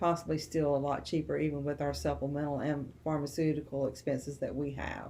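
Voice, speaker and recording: A woman speaks with a very deep, low pitch. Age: 60s. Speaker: retiree on Medicare. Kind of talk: informational interview monologue. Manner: halting, many fillers.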